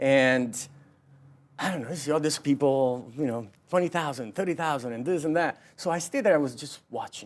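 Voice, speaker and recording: With an Italian accent, a man talks at a fairly quick pace. His pitch is fairly high, with ordinary pitch variation. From southern Italy (Naples). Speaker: realtor. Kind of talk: interview.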